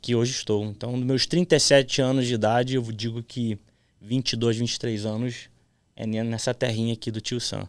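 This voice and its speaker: On a very clean recording with a silent background, a man speaks fairly quickly at medium pitch in a monotone, flat intonation. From childhood in Florida, US; adolescence in Brazil. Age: 30s. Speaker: podcast host. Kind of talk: casual chat.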